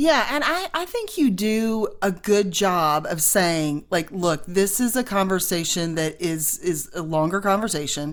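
A woman talks at a fairly slow pace with hardly any pauses, using a normal speaking voice at medium pitch and lively intonation. The recording is very clean, with a silent background. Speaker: podcast host. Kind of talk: interview.

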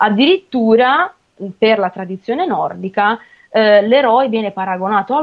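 A woman's normal speaking voice, fairly slow in pace, with lively intonation. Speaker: radio host. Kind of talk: casual chat.

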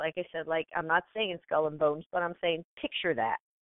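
At a fairly quick pace, a woman with a fairly low pitch talks in a normal speaking voice. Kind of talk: casual chat.

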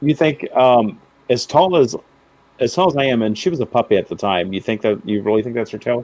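A man with an unremarkable speaking voice talks at a fairly quick pace, using lively intonation at a medium pitch. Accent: American. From Houston, Texas. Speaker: paranormal enthusiast guest. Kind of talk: casual chat. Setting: video call.

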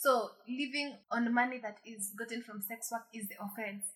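A woman speaks in a fairly high pitch with a bright, sharp tone. Her pace is moderate and her intonation fairly even. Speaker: podcast co-host. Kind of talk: casual chat.

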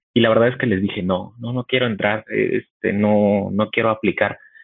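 A man talks in an unremarkable speaking voice. His pitch is fairly low. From Mexico City. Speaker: tech company engineer. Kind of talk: casual chat.

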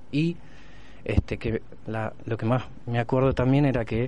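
At a fairly slow pace, a man talks with a dark, mellow tone. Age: 30s. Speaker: blind interviewee. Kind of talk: testimony.

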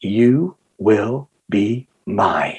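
Using a put-on character voice, a man talks at a medium pitch. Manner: sinister.

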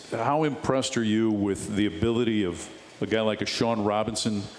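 A man speaks at a moderate pace with a medium pitch. Noticeable background noise is present. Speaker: radio sports host. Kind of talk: live radio sports talk show interview. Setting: bar and grill, live show. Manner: polished, fluent broadcaster.

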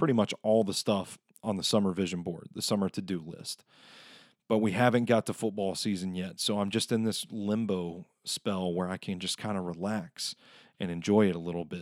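In a very clean recording with a silent background and a dry, close sound with no echo, a man has an ordinary speaking voice, fairly low in pitch, with ordinary pitch variation at a moderate pace. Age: 30s. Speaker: podcast host. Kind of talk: casual chat.

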